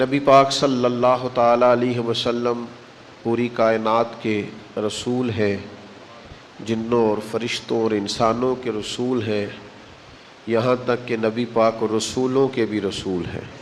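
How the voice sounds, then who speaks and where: A man talks in a flat monotone while noticeable noise carries on in the background. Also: medium pitch for a man. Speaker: Islamic preacher. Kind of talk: religious sermon (bayan). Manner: emotional, devotional.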